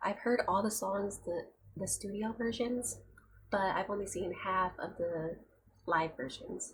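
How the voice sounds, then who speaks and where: A soft-spoken woman whispers with vocal fry. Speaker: youtube reaction reviewer. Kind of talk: casual vlog commentary. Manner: soft-spoken, quiet; near-whisper, ASMR-like.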